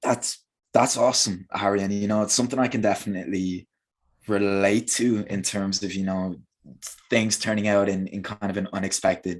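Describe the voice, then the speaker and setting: Against a quiet background, a man with a Dublin accent talks at a fairly quick pace in a fairly low pitch, his intonation monotone and flat. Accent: Irish (Dublin). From Ireland, Dublin. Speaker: English teacher. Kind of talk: interview. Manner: halting, many repeated words.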